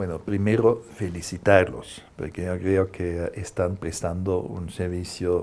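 This man has a very deep, low pitch. He speaks at a fairly slow pace. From Germany. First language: German (speaking Spanish). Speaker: Jesuit priest. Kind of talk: interview. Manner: hesitant, many fillers.

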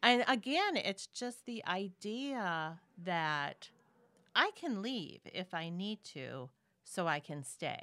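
In an Upper Midwest accent, a woman speaks at a very slow pace and medium pitch, with very wide pitch swings. Her tone is bright and sharp on a very clean recording with a silent background. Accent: Upper Midwest (Minnesota). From Minnesota. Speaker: podcast guest, host's aunt. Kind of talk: casual chat.

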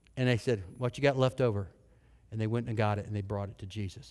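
A medium-pitched man at a fairly quick pace. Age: 50s. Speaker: pastor. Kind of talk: sermon. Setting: church. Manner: animated.

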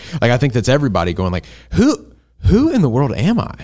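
On a very clean recording with a silent background, a man talks at a very fast pace. He speaks with an American accent. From US South. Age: 20s. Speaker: college pastor. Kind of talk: casual chat.

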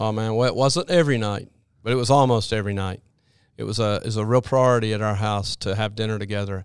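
A man with an American accent talks at a very fast pace. His pitch is fairly low, with ordinary variation. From US South (Alabama, Birmingham area). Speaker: children's minister and basketball character coach. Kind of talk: interview.

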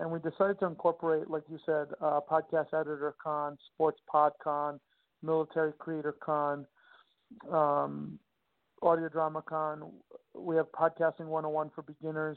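Moderate pace in a New York accent. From Long Island, New York. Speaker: conference founder. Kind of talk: interview.

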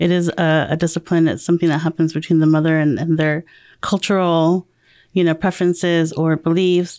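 At a fairly quick pace, a woman speaks in a dark, mellow tone with monotone, flat intonation and very even loudness, on a very clean recording with a silent background. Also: fairly low pitch for a woman. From Guam. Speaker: domestic violence program coordinator. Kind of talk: casual chat. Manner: hesitant, many fillers.

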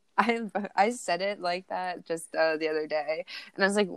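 A woman talks at a moderate pace with fairly low pitch and ordinary pitch variation. Her tone is clear and smooth.

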